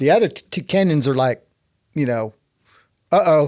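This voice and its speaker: The intonation is lively, in a Texan accent. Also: man. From Texas. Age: 60s. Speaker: climber and inventor. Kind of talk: casual storytelling interview. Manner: animated.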